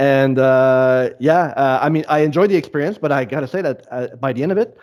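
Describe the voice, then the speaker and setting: Talking at a fairly quick pace, a man with a French Canadian accent has a fairly high pitch and ordinary pitch variation. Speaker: podcast host. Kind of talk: casual interview conversation. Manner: halting, repeats words.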